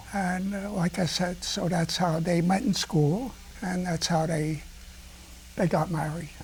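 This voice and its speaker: High-pitched and with a New York accent, a man speaks at a fairly slow pace with fairly even intonation. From US Northeast, New York (the Bronx). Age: 80s+. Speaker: retired restaurant owner. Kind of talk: casual chat.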